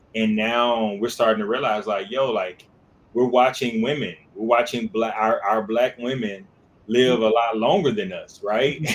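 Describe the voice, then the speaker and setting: This man talks at a fairly slow pace. His pitch sits in the medium range. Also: ordinary pitch variation. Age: 40s. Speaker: co-host of wellness talk show. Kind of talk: casual discussion. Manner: halting, many repeated words.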